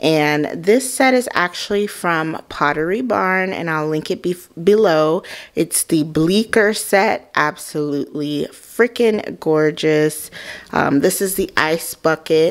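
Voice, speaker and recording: The woman's pace is very slow. Her intonation moves in a lively way. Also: quiet background. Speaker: home vlogger. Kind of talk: casual home tour narration. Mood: enthusiastic. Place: home room. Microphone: phone near.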